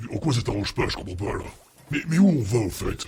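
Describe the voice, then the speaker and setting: A man's put-on character voice at medium pitch. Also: fairly quick pace. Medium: actual play. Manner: casual, colloquial.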